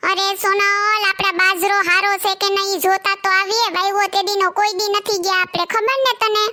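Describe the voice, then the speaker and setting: A cartoonish character voice at a moderate pace, with monotone, flat intonation. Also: woman, extremely high pitch for a woman, very even loudness. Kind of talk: comic cartoon dialogue. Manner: genial, coaxing.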